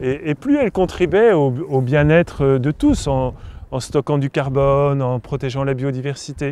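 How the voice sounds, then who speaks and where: This is a man with a fairly high pitch. He speaks at a fairly slow pace. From France, Paris. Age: 60s. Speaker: farmer and author. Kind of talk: interview monologue. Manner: halting, many hesitations and repetitions.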